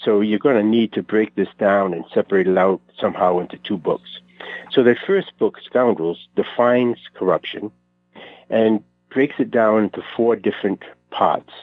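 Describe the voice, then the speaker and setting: Speaking with a Rhode Island accent, a man uses a fairly low pitch and ordinary pitch variation. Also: moderate pace. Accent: North Providence. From Rhode Island, North Providence. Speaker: author. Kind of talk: radio interview. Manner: hesitant, many fillers.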